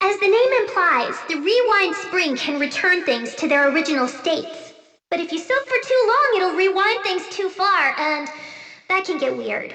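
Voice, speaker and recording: With a clear echo around it, a put-on character voice speaks at an extremely high pitch. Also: moderate pace. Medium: video game. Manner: brash, emotional, outspoken.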